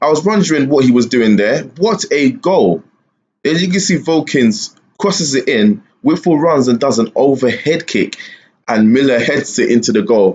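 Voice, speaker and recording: A man with a fairly high pitch and very wide pitch swings, very even loudness and a moderate pace. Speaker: gaming YouTuber. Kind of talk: live match commentary over Football Manager gameplay. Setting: screen-recorded gameplay narration. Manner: animated, excited, rising pitch on goals; casual, filler-heavy, conversational. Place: home room.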